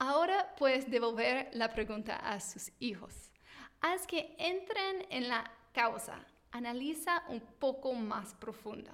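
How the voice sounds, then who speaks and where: Very slowly, a woman with an American accent speaks in a high pitch with lively intonation. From United States. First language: English (speaking Spanish). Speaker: teacher and parenting podcast host. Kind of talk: scripted tutorial monologue.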